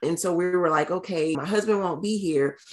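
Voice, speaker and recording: A woman's plain, everyday voice, fairly low in pitch with ordinary pitch variation. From North Carolina. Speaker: military wife and pastor. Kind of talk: interview.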